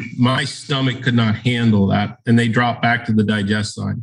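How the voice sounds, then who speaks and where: The voice has an American accent and is somewhat breathy. It moves at a moderate pace. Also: man. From US, Baltimore. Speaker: enzyme company sales educator. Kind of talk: casual chat.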